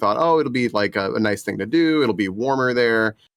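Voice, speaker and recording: At a fairly quick pace, a man with an American accent speaks with ordinary pitch variation. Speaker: podcast guest. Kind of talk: casual chat.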